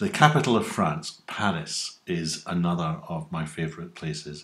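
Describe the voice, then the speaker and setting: Here a man talks at a moderate pace. His pitch shows ordinary variation. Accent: west of Scotland. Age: 60s. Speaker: YouTuber. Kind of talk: casual monologue answering survey questions.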